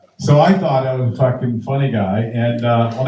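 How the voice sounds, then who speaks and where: A normal speaking voice from a man at medium pitch, with fairly even intonation and a fairly quick pace. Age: 60s. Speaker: comedian. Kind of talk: stand-up.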